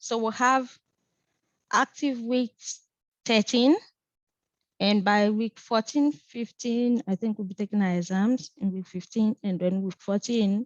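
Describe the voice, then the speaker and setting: Speaking with a non-native accent, a woman uses a fairly high pitch and leaves long, frequent pauses. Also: ordinary pitch variation. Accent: noticeable non-native. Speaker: physics instructor. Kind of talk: online lecture. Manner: hesitant, with fillers.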